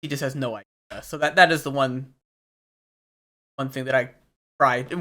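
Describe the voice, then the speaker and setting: This voice is soft-spoken. It moves along at a moderate pace. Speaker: ultimate frisbee player and coach. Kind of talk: sports film review commentary. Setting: poor mic audio, clipping. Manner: quiet, soft.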